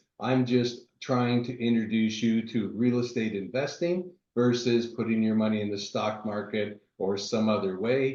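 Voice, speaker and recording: A man's plain, everyday voice at a medium pitch. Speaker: real estate investor. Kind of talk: webinar presentation.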